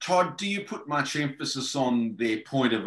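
A man with an Australian accent at a medium pitch and a fairly slow pace, with ordinary pitch variation, a quiet background and audible room echo. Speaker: podcast host. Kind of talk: interview. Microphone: video call.

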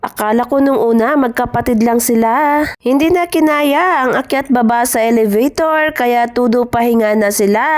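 The speech moves at a moderate pace with lively intonation, very even loudness and hardly any pauses. Noticeable background noise is present. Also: woman. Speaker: overseas worker vlogger. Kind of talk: travel vlog narration. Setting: shopping mall.

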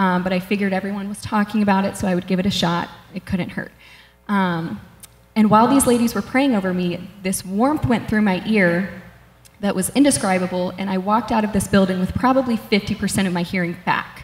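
A woman speaks at a fairly quick pace, her voice somewhat breathy, with audible echo in the room. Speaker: church member sharing testimony. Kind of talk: testimony. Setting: stage with audience. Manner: halting. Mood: earnest, a bit nervous. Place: church. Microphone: handheld.

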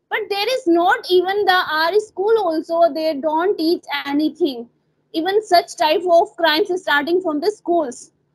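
An extremely high-pitched woman with an Indian accent, ordinary pitch variation and a fairly slow pace, against a quiet background. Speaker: English tutor. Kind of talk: English practice conversation. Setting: video call. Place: home room. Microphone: earbuds.

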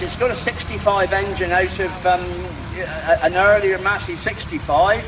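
Talking at a fairly slow pace with a strong West Country accent, the speaker is heard over noticeable background noise. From West Country, England. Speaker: show commentator. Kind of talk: live event commentary over PA. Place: open country.

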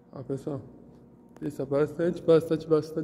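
Over light background noise, a man speaks at a fairly high pitch with a dark, mellow tone. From Brazil, Santos (São Paulo coast); São Paulo, Brazil. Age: 20s. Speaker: vlogger. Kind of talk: casual vlog walkthrough. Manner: halting, repetitive. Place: hall. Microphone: phone near.

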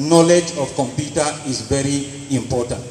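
A man speaks with fairly even intonation. Light background noise and audible room echo surround him. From Nigeria, Taraba State. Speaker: accountant; conference presenter. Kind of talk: group presentation. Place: hall. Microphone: handheld.

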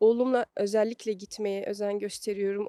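At a moderate pace, a woman talks in a fairly high pitch with a dark, mellow tone, the sound dry and close with no echo. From Belgium, Brussels. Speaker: psychologist. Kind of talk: interview. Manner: halting, many fillers.

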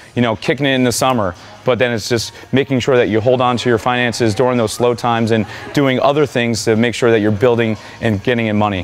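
A man talking very fast with fairly even intonation, faint music playing behind him. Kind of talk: interview answer. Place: gym.

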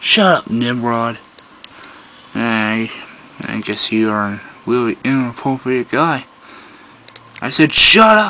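There is light background noise behind this recording. A man talks at a very slow pace. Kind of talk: improvised comedy skit with character voices. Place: home room. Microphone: phone near.

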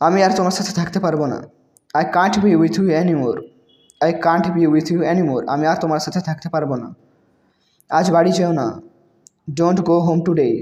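A high-pitched man with fairly even intonation. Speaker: English language teacher. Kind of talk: tutorial.

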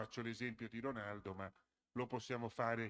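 The background stays quiet. Over it, a man's voice comes through bright and sharp. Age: 60s. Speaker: conference moderator, association secretary; conference moderator. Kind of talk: conference presentation. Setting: school auditorium with student audience. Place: hall. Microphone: podium.

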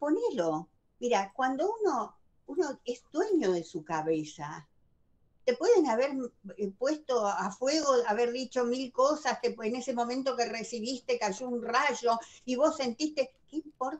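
A high-pitched woman's voice at a fairly slow pace, with very wide pitch swings. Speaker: wellbeing speaker; speaker. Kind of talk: casual chat. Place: home room. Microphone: video call.

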